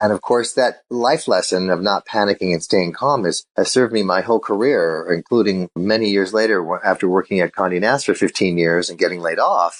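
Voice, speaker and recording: Using a plain, everyday voice, a man with an American accent talks at a fairly quick pace with hardly any pauses. His pitch is fairly low with ordinary variation, and the sound is dry and close with no echo over a quiet background. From Illinois. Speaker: sales keynote speaker. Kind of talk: interview.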